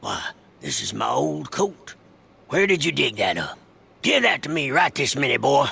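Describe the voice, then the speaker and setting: Putting on a character voice, a man sounds raspy and fairly high-pitched, speaking at a moderate pace with long, frequent pauses. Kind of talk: western tall-tale narration. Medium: video game. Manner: gruff, folksy.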